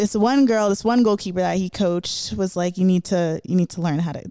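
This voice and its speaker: A woman with a Florida accent on a very clean recording with a silent background. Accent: American, Florida. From South Florida, Broward County. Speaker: professional soccer player and podcast host. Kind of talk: personal storytelling monologue. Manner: casual, with many fillers.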